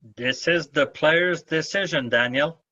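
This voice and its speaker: A man with a French accent, very slow in pace, with ordinary pitch variation. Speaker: badminton referee. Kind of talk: Q&A answers at an officials' seminar.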